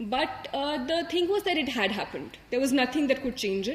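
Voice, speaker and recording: A high-pitched woman with an Indian accent at a fairly quick pace, over noticeable background noise. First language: Hindi. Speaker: civil service exam topper. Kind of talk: motivational talk. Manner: hesitant, many fillers.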